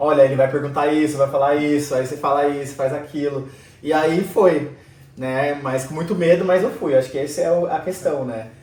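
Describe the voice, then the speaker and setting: A man with a fairly high pitch and fairly even intonation, amid noticeable background noise and audible room echo. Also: moderate pace. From Brazil. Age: 30s. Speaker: immigrant interviewee. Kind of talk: interview.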